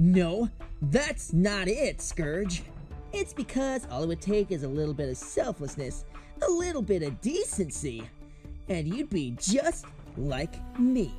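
Clear music plays in the background. Someone uses a put-on character voice at a middle pitch and a fairly slow pace.

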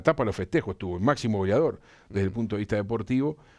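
Against a quiet background, the speech moves at a very fast pace with ordinary pitch variation. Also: man. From Uruguay. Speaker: sports journalist and commentator; sports journalist, commentator. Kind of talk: sports news roundup. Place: studio. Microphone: lapel.

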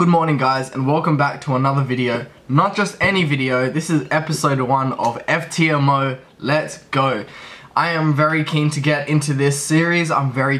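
Here a man speaks at a moderate pace. His intonation stays fairly even. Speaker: trading vlogger. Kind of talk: casual vlog chat. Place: home room. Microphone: phone near.

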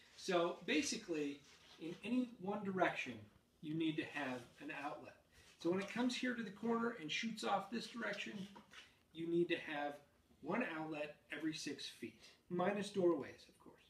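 In a room with audible echo, the speaker moves at a moderate pace with lively intonation, big swings in loudness, and long, frequent pauses. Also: man, high pitch for a man. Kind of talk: tutorial. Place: home room.

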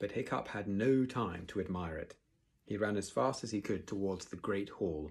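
The plain reading aloud carries lively intonation.

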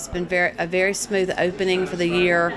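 Clear music plays in the background while a woman talks. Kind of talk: interview answer. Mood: calm, earnest. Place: hall.

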